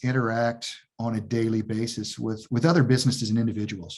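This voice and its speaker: Against a quiet background, a man with an American accent talks at a moderate pace and a medium pitch. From US. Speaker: technology sales executive. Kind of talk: interview. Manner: halting, many repetitions.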